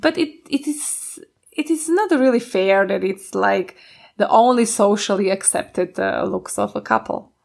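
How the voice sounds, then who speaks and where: At a fairly slow pace, a woman speaks with a Slovak accent. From Slovakia. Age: 20s. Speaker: podcast co-host. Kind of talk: casual chat.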